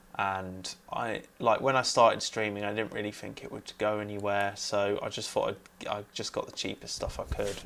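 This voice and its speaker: Moderate-paced talking from a man. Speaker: music producer streamer. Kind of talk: live stream tutorial. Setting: home studio, live stream. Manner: mumbling at times. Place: home room. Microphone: cheap USB lav mic clipped on, may cut out; lapel.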